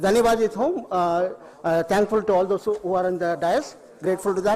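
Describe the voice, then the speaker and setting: A man keeps a moderate pace and ordinary pitch variation while noticeable background noise plays behind him. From Tamil Nadu, India. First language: Tamil (speaking Hindi). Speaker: retired beekeeper and farmer. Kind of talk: public speech at event. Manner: halting, many fillers.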